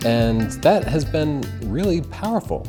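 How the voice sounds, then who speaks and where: Music plays behind a man who speaks at a fairly slow pace. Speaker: photography reviewer. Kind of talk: product review to camera.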